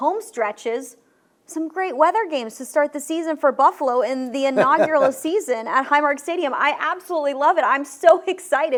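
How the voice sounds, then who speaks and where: The woman's voice is high in pitch, with ordinary pitch variation. She speaks at a fairly quick pace. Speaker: team reporter. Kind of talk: sports show hosting.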